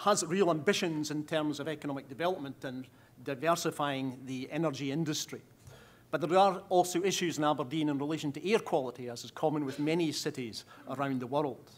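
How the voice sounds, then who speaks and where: Ordinary pitch variation at a fairly quick pace. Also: man. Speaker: council official giving a conference address. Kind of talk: conference speech. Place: hall. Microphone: podium.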